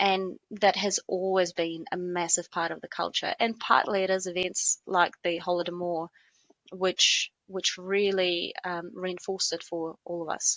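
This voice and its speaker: A woman speaks with a Russian accent at a medium pitch. Her pace is fairly slow and her intonation is monotone and flat. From eastern Ukraine. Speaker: lawyer. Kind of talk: interview.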